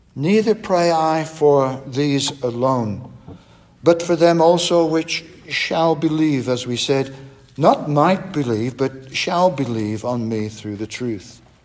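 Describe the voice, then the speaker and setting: Noticeable background noise sits behind a man talking at a very slow pace. His fairly high-pitched voice has lively intonation. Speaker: Bible teacher. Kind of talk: sermon-style Bible study. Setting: church. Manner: formal.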